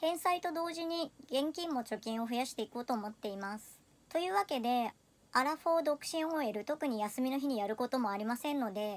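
Her pitch high and her intonation lively, a woman talks at a fairly quick pace. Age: 30s. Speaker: personal finance vlogger. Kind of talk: personal video monologue. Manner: polite. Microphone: phone near.

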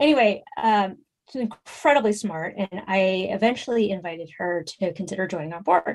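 With an American accent, a woman speaks in a normal speaking voice at a medium pitch with ordinary pitch variation. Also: moderate pace. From US West Coast, San Francisco. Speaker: fundraising coach and consultant. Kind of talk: interview conversation.

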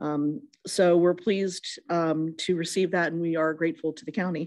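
A woman uses a normal speaking voice at a moderate pace, with a fairly low pitch and ordinary pitch variation against a quiet background. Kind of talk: meeting chair report. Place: hall. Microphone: podium.

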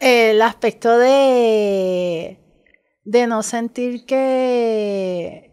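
Recorded very cleanly with a silent background, a woman speaks very slowly at a fairly high pitch with ordinary pitch variation. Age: 40s. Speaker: drag artist and community mother. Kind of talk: casual chat.

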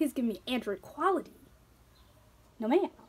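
A woman with a high pitch and an animated tone speaks over noticeable background noise. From Philadelphia, US. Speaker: YouTuber. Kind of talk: casual vlog chat. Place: home room. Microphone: phone near.

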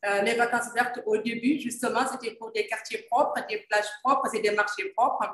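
With hardly any pauses, a woman speaks at a moderate pace and fairly high pitch, her intonation fairly even, in audible room echo over a quiet background. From Senegal. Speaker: environmental journalist and moderator; environmental journalist, moderator. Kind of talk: panel moderation. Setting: video call. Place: office. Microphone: video call.

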